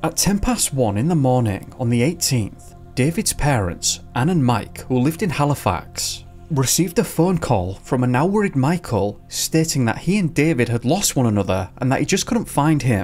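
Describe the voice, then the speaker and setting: A man at a moderate pace, his pitch swinging very widely, with music in the background. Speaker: channel narrator. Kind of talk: true-crime narration.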